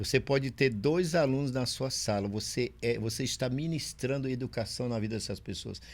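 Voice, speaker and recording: On a very clean recording with a silent background, a man with an unremarkable speaking voice talks at medium pitch and a moderate pace, with ordinary pitch variation and hardly any pauses. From Brazil, Maranhão (São Luís). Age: 60s. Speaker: pastor and chaplain. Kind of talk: podcast interview.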